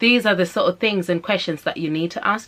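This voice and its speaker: This woman has a medium-pitched voice with a slight Zimbabwean accent and ordinary pitch variation. The recording is very clean, with a silent background. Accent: Zimbabwean, slight, shows through at times. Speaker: vlogger and mother. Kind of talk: casual advice vlog. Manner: animated.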